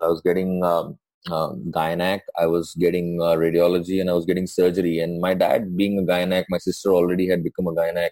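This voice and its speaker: With an Indian accent, a man speaks in a very deep, low pitch with a dark, mellow tone. His pace is fairly quick, with hardly any pauses. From India, Mumbai. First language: Hindi. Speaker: doctor. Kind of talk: casual chat. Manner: animated.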